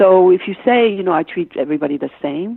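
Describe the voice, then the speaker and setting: Her pitch swings very widely. The woman's voice sits at a medium pitch. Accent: Danish. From Denmark, Copenhagen. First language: Danish. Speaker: business consultant and author. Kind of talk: interview. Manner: halting, many fillers.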